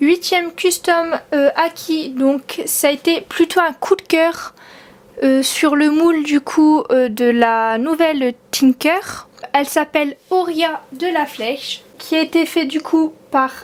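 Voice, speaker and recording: Extremely high-pitched woman at a very slow pace, with ordinary pitch variation. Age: 20s. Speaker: collector of custom model horses. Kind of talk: casual talk to camera.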